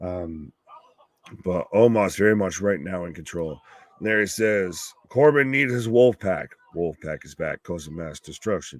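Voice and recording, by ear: Gravelly and low-pitched, the man talks at a fairly slow pace with lively intonation.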